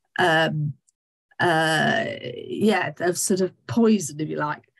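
The background stays quiet. A woman talks very slowly. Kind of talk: lecture. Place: home room. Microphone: webcam.

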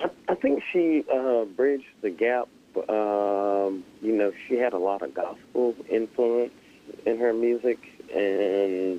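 A man at a very slow pace, ordinary pitch variation, dry sound with no echo and light background noise. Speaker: guest. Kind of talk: interview answer. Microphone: phone line.

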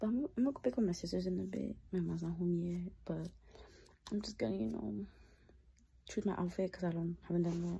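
A woman's fairly quick speech broken by long, frequent pauses. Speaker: vlogger. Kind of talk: casual vlog talk to camera. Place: home room. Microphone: phone near.

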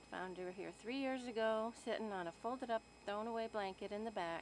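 A woman at a moderate pace with ordinary pitch variation, a dry sound with no echo and light background noise. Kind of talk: casual talk to a pet and narration. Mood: warm, affectionate. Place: open country. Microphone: phone near.

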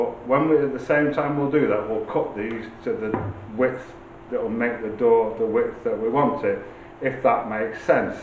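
Audible room echo and light background noise around a man talking at a moderate pace. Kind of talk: tutorial. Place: workshop. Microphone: camera far.

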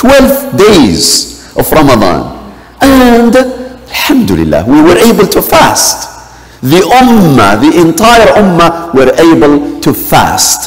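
Very slowly, a man talks. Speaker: imam. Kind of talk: sermon. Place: church.

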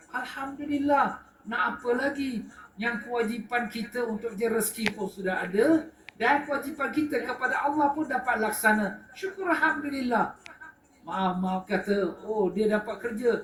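In a recording with audible room echo and noticeable background noise, a man speaks at a fairly slow pace in an extremely high pitch, with ordinary pitch variation. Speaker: religious teacher. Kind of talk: religious lecture. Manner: animated.

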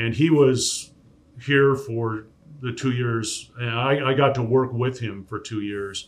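A man with an American accent, medium pitch, fairly even intonation and a very slow pace. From US Pacific Northwest, Tacoma; US Pacific Northwest. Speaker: sports play-by-play broadcaster; podcast guest. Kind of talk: casual interview. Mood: relaxed, fond recollection. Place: studio.

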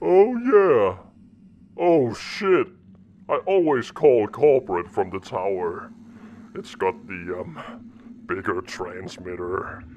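This put-on character voice moves at a very slow pace with very wide pitch swings. Long, frequent pauses break it up over light background noise. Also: man, medium pitch for a man. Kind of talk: acted dialogue. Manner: panicky, flippant.

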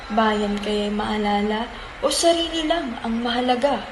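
Against noticeable background noise, a woman talks fairly slowly with ordinary pitch variation. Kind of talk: spoken word poetry. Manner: rhythmic, measured.

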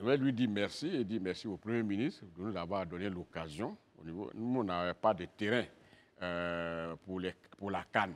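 A very deep, low male voice at a fairly slow pace, with ordinary pitch variation. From Côte d'Ivoire, western mountains region (Man); Côte d'Ivoire. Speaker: politician, regional governor; politician. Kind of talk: TV interview. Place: studio. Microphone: lapel.

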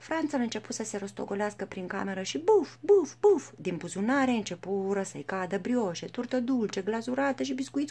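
With lively intonation, a natural voice reads the text aloud.

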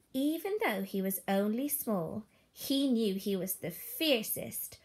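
Here is an unforced reading voice. The intonation is lively.

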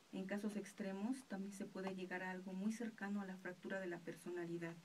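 Somewhat breathy, a woman speaks at a moderate pace. Her intonation is fairly even over light background noise. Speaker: radio announcer. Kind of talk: radio reflection, reading a personal anecdote on absent fathers. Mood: calm, reflective. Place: studio. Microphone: studio mic.

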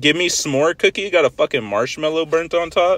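Speaking at a fairly slow pace, a man shows ordinary pitch variation. The recording is dry, with no echo. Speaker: food vlogger. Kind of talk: casual vlog chat. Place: car. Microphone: phone near.

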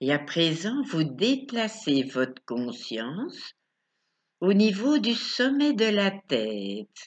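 A woman's very slow, soothing, calm voice at medium pitch, with very wide pitch swings over a quiet background. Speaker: sophrology and hypnosis coach. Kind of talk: guided meditation. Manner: slow, soothing, calm, with long pauses; soft-spoken, gentle, repetitive. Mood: calm, soft, slow. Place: home room. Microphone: webcam.

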